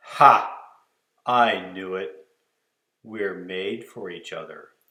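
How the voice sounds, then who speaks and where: A man growls in a put-on character voice with a very deep, low pitch, speaking very slowly with audible echo. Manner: growling.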